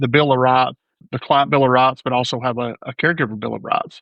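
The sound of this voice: A man at medium pitch with vocal fry, a fairly quick pace and fairly even intonation, in a dry, close sound with no echo.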